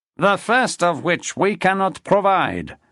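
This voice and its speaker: In a put-on character voice, a man talks at a fairly slow pace and high pitch. The background is quiet. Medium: read story. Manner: imperious, theatrical.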